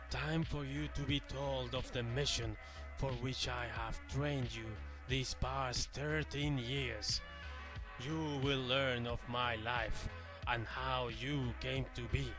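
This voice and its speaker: A man's put-on character voice at a fairly slow pace over loud music in the background. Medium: read story. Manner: measured, solemn.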